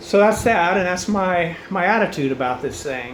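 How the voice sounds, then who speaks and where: A fairly high-pitched man with lively intonation over noticeable background noise. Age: 60s. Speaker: cancer patient addressing family and friends. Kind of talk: personal video message. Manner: casual, conversational with many fillers.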